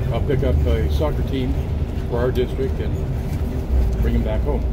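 A man keeps a moderate pace while loud background noise surrounds him. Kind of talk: casual vlog chat. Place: bus. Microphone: phone near.

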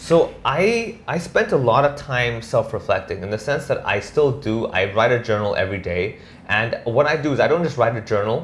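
Somewhat breathy, a man speaks with hardly any pauses. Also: moderate pace. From Hong Kong. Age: 30s. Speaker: stand-up comedian. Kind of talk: casual interview. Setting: at home. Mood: reflective, calm. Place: office.

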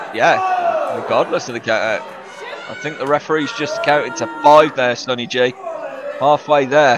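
Crowd noise sounds in the background. Over it, a man talks at a moderate pace in an animated, enthusiastic tone. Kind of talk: live wrestling commentary. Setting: ringside at a live event. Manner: animated, enthusiastic play-by-play.

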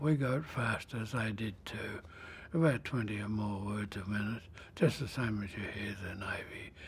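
Somewhat breathy, a man with an Australian accent speaks at a fairly slow pace with ordinary pitch variation. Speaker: World War II veteran, former merchant navy radio officer. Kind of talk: elder life story, unhurried and reflective war memoir told to an interviewer. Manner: slow, halting, with frequent 'uh' fillers and restarts; plainspoken and matter-of-fact, even about ships blowing up. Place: studio. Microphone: lapel.

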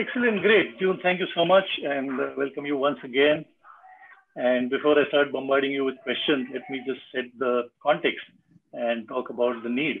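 A man with an unremarkable speaking voice and a fairly high pitch talks at a moderate pace with ordinary pitch variation over light background noise. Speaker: business consultant and webinar host. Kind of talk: moderated panel discussion. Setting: video call. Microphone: video call.

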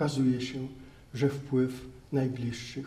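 A man speaks in a monotone with flat intonation. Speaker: priest lecturer. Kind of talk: lecture. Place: hall. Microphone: handheld.

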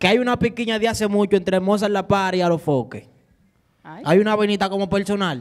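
The speaker goes at a fairly quick pace with ordinary pitch variation. The background is quiet. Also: man, high pitch for a man. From Dominican Republic. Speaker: urban music artist; TV talk show guest. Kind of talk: casual chat. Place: studio. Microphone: handheld.

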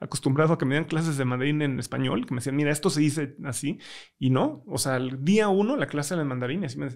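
Against a quiet background, a man with a Mexican accent speaks very fast at a fairly high pitch with ordinary pitch variation. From Mexico. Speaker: tech startup founder; podcast guest. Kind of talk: interview conversation. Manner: hesitant, many fillers. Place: studio. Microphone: studio mic.

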